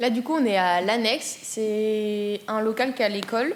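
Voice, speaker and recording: The woman here has a fairly high pitch and ordinary pitch variation. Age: 20s. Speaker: art student. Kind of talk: interview. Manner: hesitant, many fillers.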